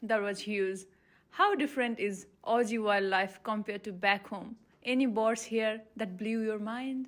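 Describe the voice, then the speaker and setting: A woman's plain, everyday voice, fairly high in pitch, at a fairly slow pace. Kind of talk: podcast host interview questions.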